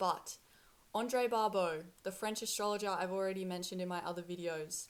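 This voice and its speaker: In an Australian accent, a woman talks at a medium pitch. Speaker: spiritual content creator. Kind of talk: casual monologue to camera.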